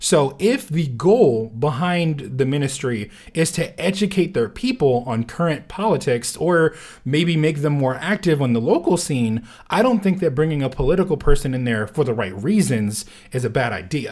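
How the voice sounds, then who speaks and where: A man's somewhat breathy voice, fairly high in pitch, with lively intonation, on a very clean recording with a silent background. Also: moderate pace. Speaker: podcast host, co-guest. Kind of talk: casual discussion. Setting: studio.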